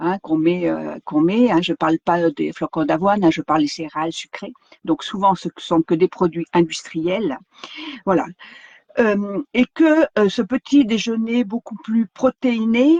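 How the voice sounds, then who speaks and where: A woman speaks at a fairly slow pace with lively intonation and medium pitch. The sound is dry and close, with no echo. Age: 60s. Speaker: wellness vlogger. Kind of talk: live stream talk. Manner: halting, many fillers.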